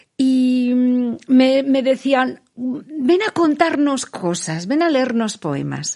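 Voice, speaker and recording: Very slow speech carries lively intonation. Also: woman, high pitch for a woman. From Basque Country, Spain (Vitoria-Gasteiz). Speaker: poet and writer. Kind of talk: interview. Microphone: muffled by face mask.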